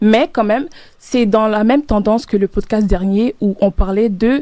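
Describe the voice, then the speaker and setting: A woman with a Cameroonian accent, a dark, mellow tone and fairly high pitch, at a moderate pace with ordinary pitch variation. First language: Medumba (speaking French). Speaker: student podcast host. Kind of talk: casual chat.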